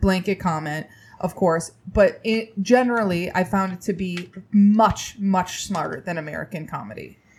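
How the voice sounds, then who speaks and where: A woman with a normal speaking voice, her pitch medium and its variation ordinary. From Indiana, US Midwest. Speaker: comedian and TV writer. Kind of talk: casual chat.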